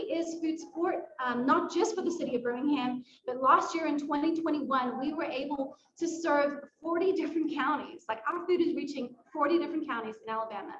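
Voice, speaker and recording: Pitched high, a woman talks at a fairly quick pace with a South African accent. Her pitch variation is ordinary. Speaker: nonprofit staff member. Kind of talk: presentation at a volunteer fair. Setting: library event at a podium.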